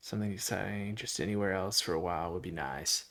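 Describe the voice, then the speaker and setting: This man has a Southern US accent. His pitch varies in an ordinary way. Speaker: Minecraft livestreamer. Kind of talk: casual chat. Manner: halting.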